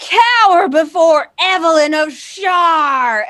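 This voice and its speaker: A put-on, robotic character voice that sounds female, shrill and pitched extremely high, speaking at a very slow pace. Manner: shrieking, commanding.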